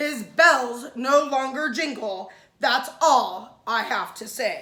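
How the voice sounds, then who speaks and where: A woman's put-on character voice, high in pitch, at a very slow pace. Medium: read story.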